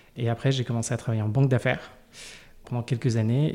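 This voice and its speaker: On a very clean recording with a silent background, a man with a medium pitch and a dark, mellow tone speaks with monotone, flat intonation. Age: 30s. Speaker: early retiree and financial independence advocate. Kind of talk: interview. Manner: halting.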